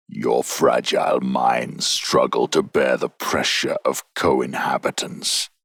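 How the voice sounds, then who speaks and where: A man's gravelly, guttural put-on character voice, extremely high in pitch, with hardly any pauses. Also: fairly slow pace. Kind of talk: horror narration. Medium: read story. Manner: calm, commanding, menacing.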